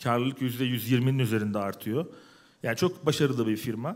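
Intonation stays fairly even as a man speaks. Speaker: tech company founder. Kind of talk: panel talk. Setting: stage with audience. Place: hall. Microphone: headset.

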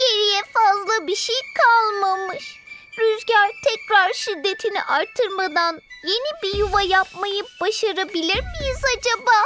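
A female-sounding, cartoonish character voice at an extremely high pitch, fairly slow and sad in tone, with music in the background. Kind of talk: children's cartoon voice acting. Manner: sad, worried.

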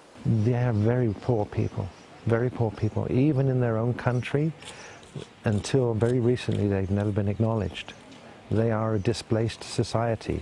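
Amid noticeable background noise, a man talks at a medium pitch and moderate pace with fairly even intonation and very even loudness. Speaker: businessman and interviewee. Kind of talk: interview soundbites.

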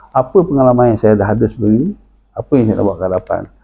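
A man is speaking. His tone is dark and mellow. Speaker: politician and professor. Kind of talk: political interview.

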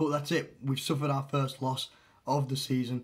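A man's somewhat breathy, medium-pitched voice on a very clean recording with a silent background. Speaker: football vlogger. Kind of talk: solo opinion video. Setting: home recording, solo to camera. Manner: halting, hedging.

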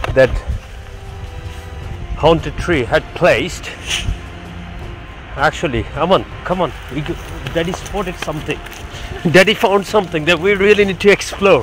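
A man talks at a moderate pace in a high pitch, with ordinary pitch variation and long, frequent pauses. Clear music plays behind the dry sound, which has no echo. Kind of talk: casual vlog chat. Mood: playful, mock suspense. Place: open country. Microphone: phone near.

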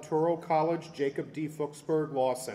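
A man speaks in an ordinary speaking voice at a fairly high pitch. His pace is moderate and his intonation fairly even. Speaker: university official. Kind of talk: formal introduction. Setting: stage with audience. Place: hall. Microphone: podium.

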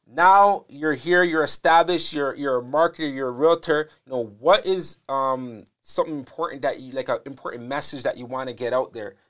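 An ordinary speaking voice moves at a moderate pace with hardly any pauses, its pitch varying in an ordinary way. Loudness swings widely against a quiet background. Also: man, fairly high pitch for a man. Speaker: podcast host. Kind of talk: casual interview. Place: studio. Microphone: lapel.

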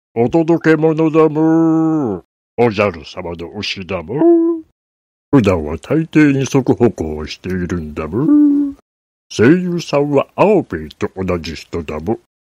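Putting on a character voice, a man speaks at medium pitch and a fairly slow pace.

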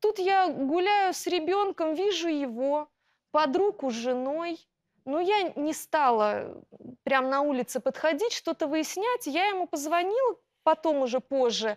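A woman speaks at a fairly slow pace with an extremely high pitch and lively intonation, her voice dry with no echo against a quiet background. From Russia. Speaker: schoolteacher, plaintiff; schoolteacher. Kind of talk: courtroom testimony. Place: studio.

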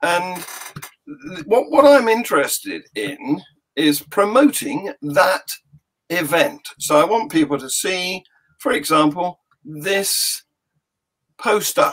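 A high-pitched man talks with very wide pitch swings and long, frequent pauses against a quiet background. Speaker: podcast host. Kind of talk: casual podcast chat. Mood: cheerful, jokey. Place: home room.

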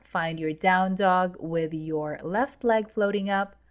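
The voice is a plain, everyday voice. It carries ordinary pitch variation. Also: woman. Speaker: yoga instructor. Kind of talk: guided yoga class. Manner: calm, soothing, measured; brisk, rhythmic cueing with breath.

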